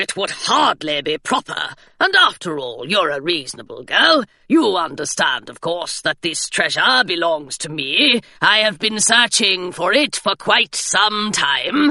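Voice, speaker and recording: A woman does a put-on character voice at medium pitch with very wide pitch swings. She goes at a fairly slow pace with hardly any pauses, in a dry, close sound with no echo. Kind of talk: stuffy upper-class officer. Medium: read story. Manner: clipped, genteel and condescending.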